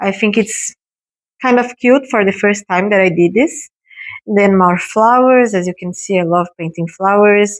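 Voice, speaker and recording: Speaking with a non-native accent, a woman uses a medium pitch, ordinary pitch variation, and a fairly slow pace. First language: not English. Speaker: art YouTuber. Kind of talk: painting tutorial vlog. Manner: halting, many fillers.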